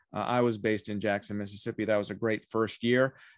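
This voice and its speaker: A man is speaking. The background is quiet. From Canada. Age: 40s. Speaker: lawyer and constitutional scholar. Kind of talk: interview. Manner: hesitant, many fillers.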